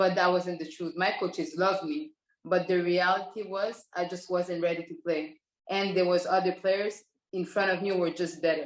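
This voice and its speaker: A woman speaks with a Quebec accent. Her pitch sits in the medium range. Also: fairly even intonation, moderate pace. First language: French. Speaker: professional basketball player. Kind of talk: interview.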